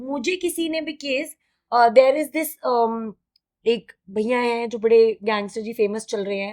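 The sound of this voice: A woman speaks at a fairly slow pace with a fairly high pitch. Her tone is slightly mellow and her intonation fairly even.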